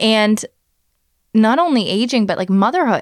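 In an ordinary speaking voice, a woman with a Canadian accent talks at a moderate pace with lively intonation on a very clean recording with a silent background. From Canada. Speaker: podcast host. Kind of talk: casual chat. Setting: hotel room on a trip.

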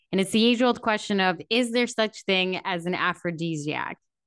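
A woman with a plain, everyday voice speaks at a moderate pace, her medium pitch rising and falling in lively intonation. The sound is dry and close with no echo, over a quiet background. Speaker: podcast host. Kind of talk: casual interview chat.

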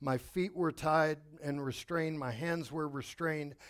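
In a very clean recording with a silent background, a man speaks at a fairly high pitch with fairly even intonation. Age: 50s. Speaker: pastor. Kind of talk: sermon. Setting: church.

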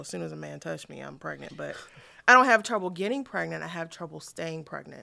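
Very clean recording of a woman, with a silent background. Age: 30s. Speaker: public speaker and doula. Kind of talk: casual chat. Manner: halting, frequent fillers.

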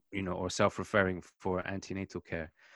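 A man with a British accent at a moderate pace, dry and close with no echo, on a very clean recording with a silent background. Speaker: general practitioner. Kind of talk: panel discussion.

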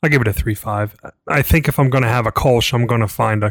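A man with an American accent speaks at a moderate pace and medium pitch, with ordinary pitch variation and vocal fry. The sound is dry and close with no echo. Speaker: friend and guest. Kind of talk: casual chat.

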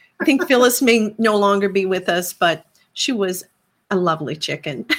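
In a Newfoundland accent, a woman speaks at medium pitch and a moderate pace with very wide pitch swings. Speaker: podcast host. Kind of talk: interview.

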